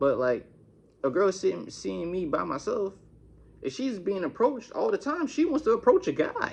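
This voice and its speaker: Moderate-paced speech from a man, with noticeable background noise behind it. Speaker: YouTuber. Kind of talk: storytime monologue.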